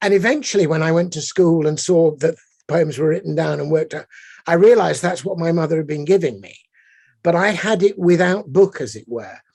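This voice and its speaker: Here a man with an English accent talks at a fairly quick pace and a high pitch. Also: ordinary pitch variation, big swings in loudness. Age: 60s. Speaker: poet. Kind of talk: panel conversation.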